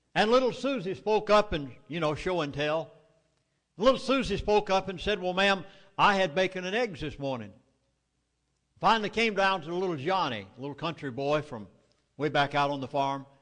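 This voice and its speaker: A man's high voice in a Southern US accent, moderate in pace, lively in intonation, with long, frequent pauses. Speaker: author and oil industry insider speaker. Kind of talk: public lecture.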